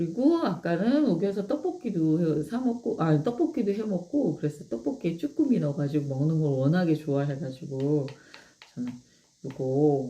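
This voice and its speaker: With very wide pitch swings, a woman speaks at a moderate pace in a very deep, low voice that is somewhat breathy and dark and mellow in tone. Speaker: live-stream host promoting products. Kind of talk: casual live-stream chat with product demo.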